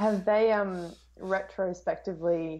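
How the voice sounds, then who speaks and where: With an Australian accent, a woman speaks with ordinary pitch variation. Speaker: film YouTuber. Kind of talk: casual chat. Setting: video call. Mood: cheerful, friendly. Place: home room. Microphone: earbuds.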